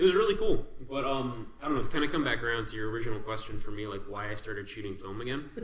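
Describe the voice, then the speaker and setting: A man's medium-pitched voice at a very fast pace, with audible room echo and noticeable background noise. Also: ordinary pitch variation. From Canada (Calgary, Alberta). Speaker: podcast co-host, film photographer. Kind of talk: casual chat. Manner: rambling, animated.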